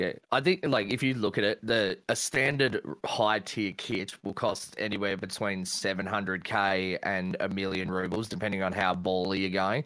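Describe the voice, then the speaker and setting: Bright and sharp in tone, a man speaks at a fairly low pitch with fairly even intonation. His pace is moderate, with hardly any pauses. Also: very clean recording, silent background. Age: 30s. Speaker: gaming streamer. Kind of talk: casual panel Q&A. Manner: deadpan.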